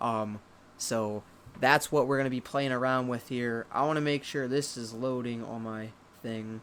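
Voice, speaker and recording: A man at a medium pitch and moderate pace, with monotone, flat intonation. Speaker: YouTuber making music beats. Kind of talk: casual live stream tutorial. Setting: live stream from home computer. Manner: halting, stuttering. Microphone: possible echo.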